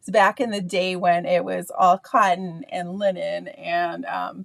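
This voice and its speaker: This woman talks at a medium pitch with ordinary pitch variation, and the sound is dry and close with no echo. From Canada. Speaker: art teacher. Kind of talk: tutorial. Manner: casual, hesitant with frequent fillers.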